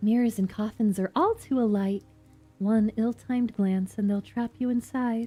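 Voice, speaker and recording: In a put-on character voice, a breathy, female-sounding speaker with a fairly high pitch talks at a moderate pace, with faint music in the background. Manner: wistful.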